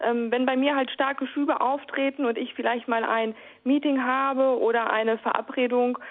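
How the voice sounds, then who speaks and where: At a moderate pace, a woman speaks. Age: 30s. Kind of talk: interview. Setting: phone call. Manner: halting, many fillers.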